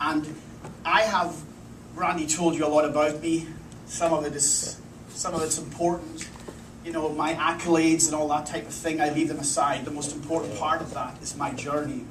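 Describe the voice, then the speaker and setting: Over noticeable background noise and audible room echo, a man with a fairly high pitch talks at a moderate pace. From Scotland, Isle of Lewis (Outer Hebrides). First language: Scottish Gaelic. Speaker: culinary instructor. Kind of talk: presentation talk.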